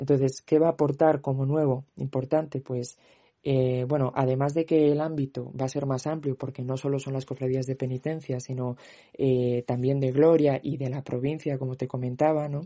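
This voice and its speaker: The sound is dry and close, with no echo. A man with a medium pitch and a dark, mellow tone talks at a moderate pace in a flat monotone. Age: 20s. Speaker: youth brotherhood member. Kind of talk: interview testimony.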